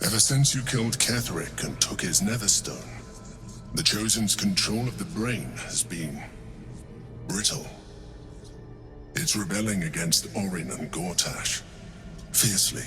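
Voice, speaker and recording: A man's fairly low put-on character voice at a moderate pace over clear background noise. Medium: game stream. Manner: measured, formal, composed.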